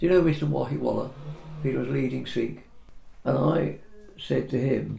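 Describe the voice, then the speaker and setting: With audible room echo around him, a man talks at a moderate pace broken by long, frequent pauses. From England. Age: 80s+. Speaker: property surveyor. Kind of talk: casual chat.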